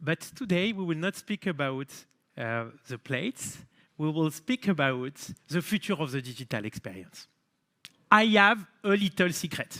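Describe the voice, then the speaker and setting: A French accent with a bright, sharp tone, very wide pitch swings and long, frequent pauses, in a dry, close sound with no echo and a very clean recording with a silent background. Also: man, fairly high pitch for a man, moderate pace. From France, Marseille. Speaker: company founder and CEO. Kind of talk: keynote speech.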